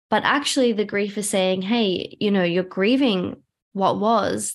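A woman's plain, everyday voice at medium pitch and moderate pace, with ordinary pitch variation, on a very clean recording with a silent background. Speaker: somatic trauma educator and practitioner. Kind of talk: personal story interview.

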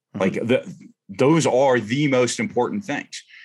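This man has an ordinary speaking voice with ordinary pitch variation and a fairly quick pace. The recording is very clean, with a silent background. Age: 40s. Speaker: retired navy special operations veteran and firearms instructor. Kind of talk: casual interview.

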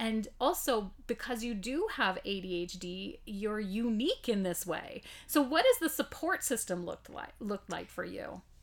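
An ordinary speaking voice, a woman's fairly high pitch carries lively intonation at a moderate pace with hardly any pauses, on a very clean recording with a silent background. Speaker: podcast host. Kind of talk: interview.

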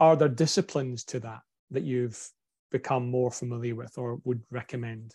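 Against a quiet background, a man with a strong Scottish accent talks in a somewhat breathy voice with a dark, mellow tone, ordinary pitch variation and big swings in loudness. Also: medium pitch for a man, moderate pace. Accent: broad Scottish. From Scotland. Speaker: podcast host. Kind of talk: casual interview chat.

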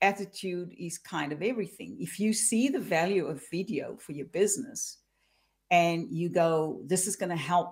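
A woman with a plain, everyday voice, fairly low in pitch, with lively intonation at a moderate pace on a very clean recording with a silent background. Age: 50s. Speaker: career coach. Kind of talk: interview.

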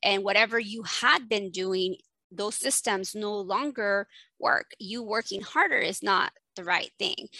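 Speaking at a fairly slow pace with a Spanish accent, a woman uses a medium pitch with ordinary pitch variation and a bright, sharp tone, the sound dry and close with no echo. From Mexico and Texas. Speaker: family physician and ADHD coach. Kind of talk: interview.

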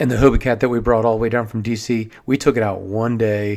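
The recording is very clean with a silent background as a man with an American accent talks fairly quickly in a normal speaking voice and fairly even intonation. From Maryland (Silver Spring, near Washington DC). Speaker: podcast host, watersports business owner. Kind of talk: solo podcast monologue.

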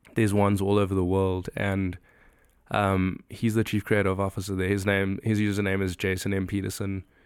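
In a South African accent, a man with a fairly low pitch talks at a fairly quick pace, his intonation monotone and flat. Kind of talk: casual podcast interview. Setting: cabin retreat.

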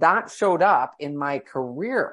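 Using a normal speaking voice, a woman talks at a fairly slow pace with lively intonation. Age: 50s. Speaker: entrepreneur and cancer survivor. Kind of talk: interview.

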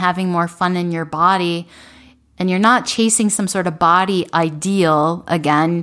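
This woman has a plain, everyday voice, fairly low in pitch with fairly even intonation. She talks at a moderate pace in a very clean recording with a silent background. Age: 40s. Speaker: dietitian and podcast host. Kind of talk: solo podcast monologue.

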